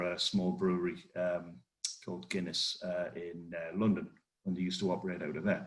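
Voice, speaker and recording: A man with a strong northeast English accent, fairly quick in pace and fairly even in intonation. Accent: strong northeast English (Geordie-like). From northeast England. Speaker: cybersecurity consultant. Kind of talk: webinar presentation. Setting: online webinar.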